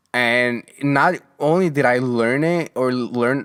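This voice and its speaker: Recorded very cleanly against a silent background, with a dry, close sound and no echo, a man speaks at a medium pitch with ordinary pitch variation. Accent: Mexican. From Mexico. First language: Spanish. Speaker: podcast host. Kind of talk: casual monologue. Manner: halting, many restarts and fillers.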